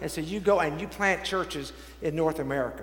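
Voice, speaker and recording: A man's high-pitched voice moves at a fairly quick pace. Noticeable background noise and audible room echo fill the recording. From Texas, Dallas. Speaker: bishop. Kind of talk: sermon.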